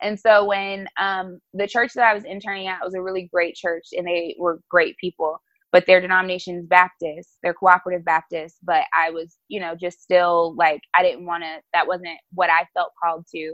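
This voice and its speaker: A woman with an American accent and an unremarkable speaking voice talks at a moderate pace with fairly even intonation. Her pitch is fairly low and her loudness swings widely. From New Jersey and North Carolina (East Orange, then Charlotte from age 11). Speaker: pastor. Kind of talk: casual interview. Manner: casual, filler-heavy (um, like).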